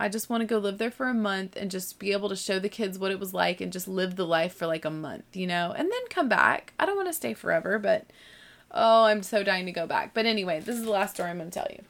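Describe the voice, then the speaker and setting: Speaking at a very fast pace, a woman has an animated tone and a slight Southern US accent. Her pitch is medium with ordinary pitch variation. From US South (born in Texas). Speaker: podcast host, homeschooling mom. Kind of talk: casual monologue.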